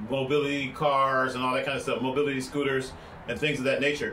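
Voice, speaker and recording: A man with a fairly high pitch talks at a fairly quick pace. The room adds an audible echo. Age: 60s. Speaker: vlogger and broadcast engineer. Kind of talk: casual vlog monologue. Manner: loud; animated.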